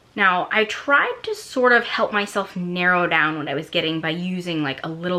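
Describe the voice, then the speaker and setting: A woman speaks at a medium pitch with lively intonation. Hers is a plain, everyday voice. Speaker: lifestyle vlogger. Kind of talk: casual haul video monologue. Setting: at home at night while kids sleep.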